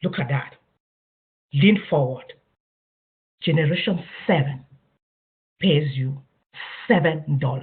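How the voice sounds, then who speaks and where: A fairly slow pace with long, frequent pauses. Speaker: network marketing presenter. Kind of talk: business presentation.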